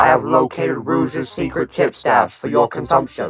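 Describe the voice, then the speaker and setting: Over faint background music, a man uses a raspy, put-on character voice at a moderate pace. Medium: cartoon.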